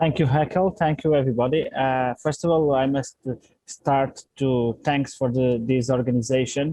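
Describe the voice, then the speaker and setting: In a Portuguese accent, a man speaks at a moderate pace and medium pitch, with fairly even intonation and very even loudness. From Portugal. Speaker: water company executive. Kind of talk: panel talk. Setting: outdoors by a lake. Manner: halting.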